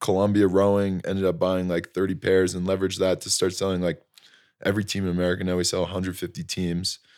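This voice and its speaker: In a plain, everyday voice, a man speaks at a fairly low pitch with fairly even intonation. The recording is very clean, with a silent background. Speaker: young entrepreneur, apparel company founder. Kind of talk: casual interview.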